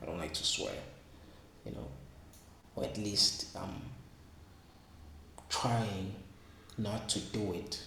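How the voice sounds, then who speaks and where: A soft-spoken man with a Zulu accent, fairly low in pitch, with ordinary pitch variation, a very slow pace and long, frequent pauses, amid noticeable background noise and audible room echo. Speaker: vlogger. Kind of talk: casual vlog monologue. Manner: halting, repetitive.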